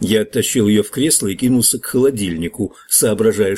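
The intonation moves in a lively way. Someone is reading aloud in a natural voice.

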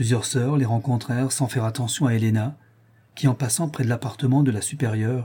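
The intonation stays fairly even as the words are read in an unforced reading voice.

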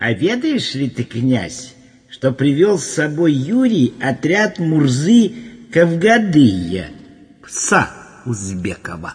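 A man puts on a character voice with a husky, rough edge, fairly high pitch, and big pitch swings. He talks at a slow pace with few pauses.

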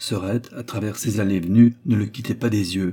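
The intonation holds fairly even through plain reading aloud.

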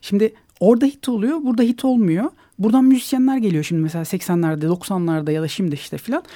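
The voice has a dark, mellow tone and very wide pitch swings at a fairly quick pace, in a very clean recording against a silent background. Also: man, high pitch for a man. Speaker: ethnomusicologist. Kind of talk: radio interview.

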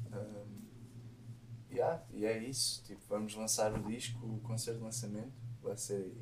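A man at a medium pitch, talking at a fairly slow pace in a monotone, flat intonation, with audible room echo. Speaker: musician and sound engineer. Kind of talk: casual chat.

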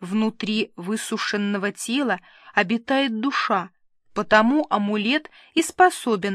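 The pitch varies in an ordinary way as the speaker is reading aloud in a natural voice.

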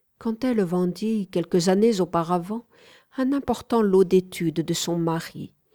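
Natural voice reading aloud, ordinary pitch movement.

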